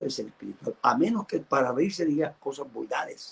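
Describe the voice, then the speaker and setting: With vocal fry and very wide pitch swings, a man with a fairly high voice talks at a moderate pace. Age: 70s. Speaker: pastor. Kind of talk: sermon.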